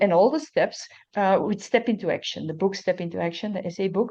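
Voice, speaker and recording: A medium-pitched woman's voice with a Dutch accent, at a fairly quick pace. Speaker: recovery testimony speaker. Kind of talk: testimony. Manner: halting.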